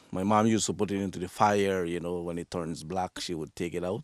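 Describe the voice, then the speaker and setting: A very deep, low male voice at a fairly quick pace with fairly even intonation, dry and close with no echo, on a very clean recording with a silent background. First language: Yucatec Maya. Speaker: coffee farmer. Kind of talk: interview. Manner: halting, many repetitions.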